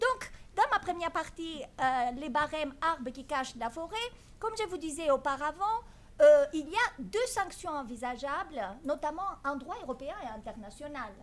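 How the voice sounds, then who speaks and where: Speaking fairly slowly in a Greek accent, a woman uses a high pitch with very wide pitch swings. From Greece. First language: Greek (speaking French). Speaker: law professor. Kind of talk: conference talk. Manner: hesitant, many fillers.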